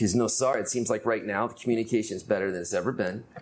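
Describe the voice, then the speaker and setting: Amid noticeable background noise, a man at medium pitch speaks at a very fast pace with ordinary pitch variation. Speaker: podcast host. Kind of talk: podcast interview questions. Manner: casual.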